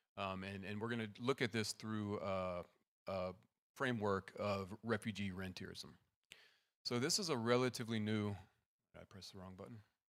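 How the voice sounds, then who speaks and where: A soft-spoken man with a fairly low pitch talks with big swings in loudness and long, frequent pauses. The recording is very clean, with a silent background. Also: ordinary pitch variation, moderate pace. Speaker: assistant professor. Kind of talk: conference presentation. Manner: trying to speak softly.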